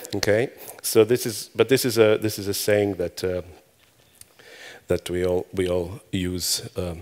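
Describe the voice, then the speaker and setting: Pausing long and often, a man speaks at a fairly slow pace with a fairly low pitch and fairly even intonation. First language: Hebrew. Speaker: conference speaker. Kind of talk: conference talk. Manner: halting.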